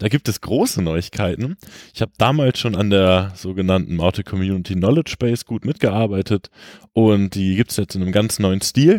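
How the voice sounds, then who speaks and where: A man talks fairly quickly in an ordinary speaking voice, his fairly low pitch showing ordinary variation. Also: dry, close sound with no echo. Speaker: co-host. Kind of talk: casual chat.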